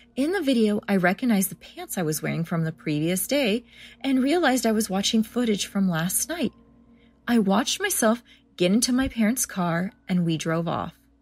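A woman with a medium-pitched, somewhat breathy voice speaks at a moderate pace with lively intonation. The recording is very clean, with a silent background. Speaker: podcast host reading listener-submitted scary stories. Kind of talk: scary story reading, hushed suspenseful narration building dread.

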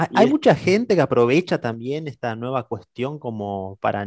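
A man at medium pitch with an ordinary speaking voice, at a moderate pace against a quiet background. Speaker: podcast host. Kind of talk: live-streamed podcast interview.

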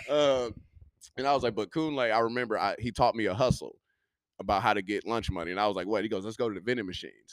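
A man speaks at a very fast clip in a medium-pitched voice, his tone animated and playful, with ordinary pitch variation. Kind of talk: stand-up comedy storytelling. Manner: animated, punchline-driven, playful.

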